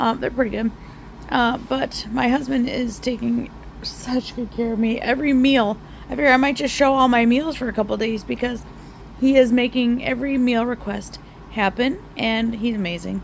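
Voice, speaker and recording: Over noticeable background noise, a woman speaks softly at a high pitch. Her intonation is fairly even and her pace moderate. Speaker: home cooking vlogger. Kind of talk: casual vlog. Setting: at home in recliner. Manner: soft-spoken.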